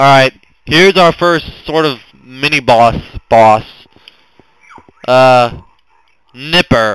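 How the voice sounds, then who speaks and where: A man talks very slowly at medium pitch, with ordinary pitch variation. Long, frequent pauses break up his speech. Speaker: gaming YouTuber. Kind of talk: gameplay walkthrough commentary. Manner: loud.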